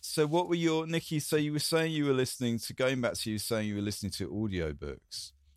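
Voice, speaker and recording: In a southern English accent, a man speaks very fast with hardly any pauses. His medium-pitched voice has lively intonation. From southern England, Coulsdon near Croydon. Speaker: podcast host. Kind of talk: casual chat.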